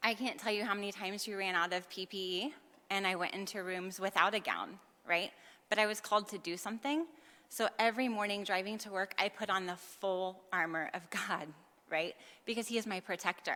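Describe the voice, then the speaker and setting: Her tone bright and sharp, a woman speaks at a medium pitch. Her pace is fairly quick. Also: ordinary pitch variation. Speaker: nurse. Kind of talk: public testimony.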